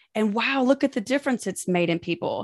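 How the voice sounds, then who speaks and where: A woman's lively intonation at a moderate pace, dry and close with no echo, over a quiet background. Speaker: financial advisor. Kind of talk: interview.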